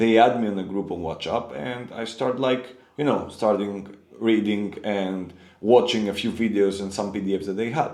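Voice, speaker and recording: Audible room echo surrounds a man's fairly low voice. He speaks at a moderate pace with fairly even intonation. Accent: Greek. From Greece. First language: Greek. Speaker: forex trader. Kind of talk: personal storytelling. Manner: halting.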